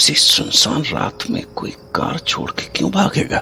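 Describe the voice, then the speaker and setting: A man puts on a gruff character voice against clear background noise. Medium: audio drama. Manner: gruff, swears often.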